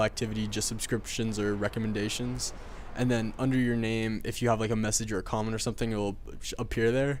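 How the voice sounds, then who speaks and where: A man speaks at a very fast pace. His intonation stays monotone and flat. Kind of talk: video game commentary. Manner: casual, rambling.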